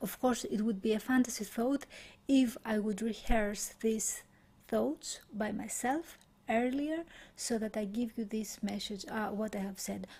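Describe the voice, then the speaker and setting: Soft-spoken and somewhat breathy, a woman with a Greek accent talks fairly slowly in a fairly high voice with a dark, mellow tone and ordinary pitch variation. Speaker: meditation teacher. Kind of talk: guided meditation. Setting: live stream.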